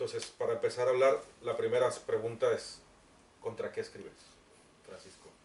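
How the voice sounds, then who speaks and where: At a moderate pace, the voice swings a lot in loudness and leaves long, frequent pauses. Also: man. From Mexico. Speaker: writer moderating book presentation. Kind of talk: book presentation talk. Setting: bookshop event with audience.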